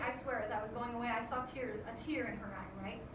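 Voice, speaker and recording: Amid noticeable background noise and audible room echo, a woman uses a raised, projected voice at a fairly quick pace. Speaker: school teacher. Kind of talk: recorded lesson for students. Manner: fast.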